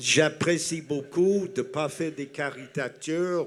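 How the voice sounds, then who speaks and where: This man's voice has a fairly high pitch and fairly even intonation. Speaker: audience member. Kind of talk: audience question.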